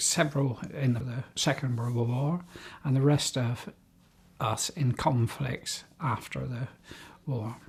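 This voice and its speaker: A somewhat breathy, very slow voice in a West Country accent, with ordinary pitch variation. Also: man. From England, South Gloucestershire. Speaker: war veteran's family member, interviewee. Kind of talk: oral history interview.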